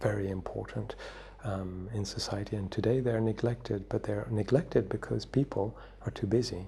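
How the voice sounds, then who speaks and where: Soft-spoken, a man talks at a moderate pace with a fairly low pitch and fairly even intonation. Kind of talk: soft-spoken wisdom talk for sleep and relaxation.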